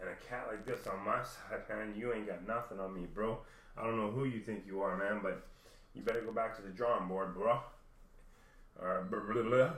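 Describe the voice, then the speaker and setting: The delivery moves at a moderate pace with fairly even intonation. Room echo is audible. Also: man. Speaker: vlogger. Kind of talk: personal rant. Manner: halting.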